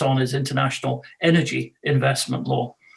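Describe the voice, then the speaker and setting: A man with a slight Scottish accent talks at a fairly quick pace. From Scotland. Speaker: law professor and arbitrator. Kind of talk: webinar self-introduction. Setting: video webinar. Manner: halting, many fillers.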